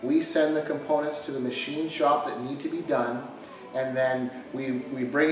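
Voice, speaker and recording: A man in a flat monotone at a moderate pace, with light background noise and audible room echo. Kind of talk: explanatory talk to camera. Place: garage. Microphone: camera far.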